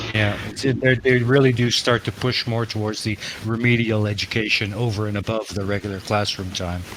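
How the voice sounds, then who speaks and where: The speech moves at a fairly quick pace with hardly any pauses and fairly even intonation. Noticeable background noise runs underneath. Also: man, fairly low pitch for a man. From Canada, emigrated from Holland at five. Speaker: talk show co-host. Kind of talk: panel discussion.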